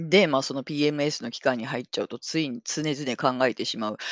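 With an animated tone, a woman speaks at a moderate pace in a very deep, low pitch and ordinary pitch variation, the sound dry and close with no echo and a quiet background. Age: 40s. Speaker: podcast host. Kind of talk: casual monologue.

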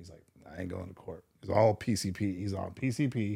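Somewhat breathy, a man speaks at a moderate pace in a fairly low pitch. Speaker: former MMA trainer and government contractor; former police officer. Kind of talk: casual interview chat.

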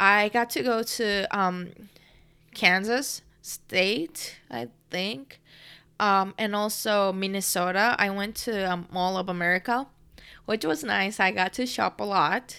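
A woman with a Japanese accent speaks at a very slow pace with lively intonation, her medium-pitched tone bright and sharp. The recording is very clean, with a silent background. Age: 20s. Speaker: podcast host, university student. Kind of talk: casual monologue. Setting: home recording.

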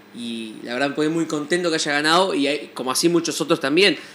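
A man talks at a fairly quick pace. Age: 20s. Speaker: musician and music teacher. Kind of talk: interview. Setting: studio. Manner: hesitant, many fillers and repetitions.

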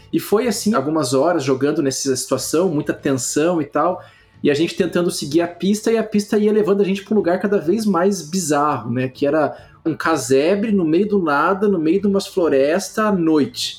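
Speaking in a Carioca accent, a man uses a high voice, lively intonation, very even loudness and a moderate pace. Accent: carioca (Rio) Portuguese. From Rio de Janeiro, Brazil. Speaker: public health researcher and professor. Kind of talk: casual chat. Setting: video call.

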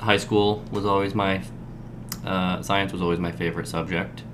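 A man speaks with an Upper Midwest accent and a very deep, low pitch. Audible room echo surrounds his voice. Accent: Upper Midwest American English. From Southwest Michigan. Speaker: nurse. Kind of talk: casual conversation. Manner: halting, many fillers.

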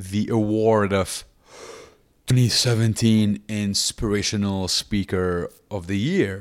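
The recording is very clean, with a silent background. A man talks at a very slow pace with a fairly low pitch. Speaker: stand-up comedian and inspirational speaker. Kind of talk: interview conversation about his life. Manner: halting, stuttering, pauses to take deep breaths.

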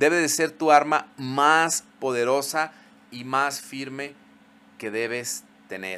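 A man speaks at a very slow pace. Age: 40s. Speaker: podcast host, psychologist. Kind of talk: solo podcast monologue.

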